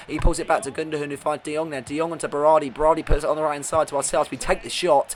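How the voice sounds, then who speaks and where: Talking at a very fast pace over noticeable background noise, a man with a British accent uses a fairly high pitch. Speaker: gaming video creator. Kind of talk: gameplay commentary. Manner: animated.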